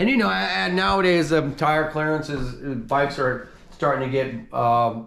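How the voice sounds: A man with a fairly high pitch, fairly bright tone and vocal fry talks at a fairly slow pace with fairly even intonation, and room echo is audible.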